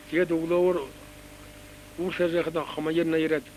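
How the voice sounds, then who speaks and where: A man's fairly high-pitched voice at a moderate pace over noticeable background noise. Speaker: war veteran. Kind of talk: reminiscence.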